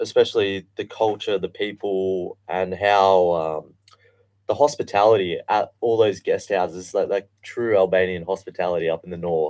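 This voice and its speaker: With an Australian accent, the speaker talks at a fairly slow pace with fairly even intonation. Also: man. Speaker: guest. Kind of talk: interview. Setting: studio.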